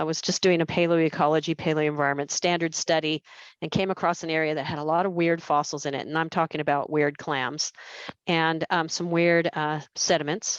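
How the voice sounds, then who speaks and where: In a dry, close recording with no echo and a quiet background, a woman with an American accent speaks at a fairly quick pace with a very deep, low pitch and monotone, flat intonation. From United States. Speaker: geologist and astrobiologist. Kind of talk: lecture.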